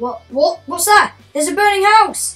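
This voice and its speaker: A put-on character voice at a moderate pace, with faint music in the background. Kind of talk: movie trailer dialogue. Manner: panicked, frightened.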